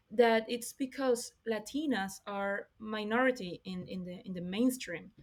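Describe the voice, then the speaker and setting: Speaking at a fairly slow pace in a Spanish accent, a woman has a fairly high pitch with ordinary pitch variation. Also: big swings in loudness. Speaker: podcast host. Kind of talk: interview.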